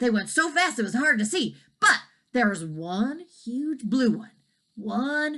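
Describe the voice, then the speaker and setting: A woman puts on a character voice and delivers her lines at a fairly slow pace. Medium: read story. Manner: excited.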